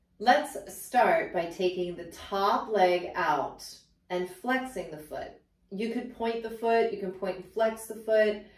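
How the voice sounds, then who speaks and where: At a very slow pace, a woman speaks with ordinary pitch variation and big swings in loudness, and room echo is audible. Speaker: pilates instructor. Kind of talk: tutorial. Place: home room.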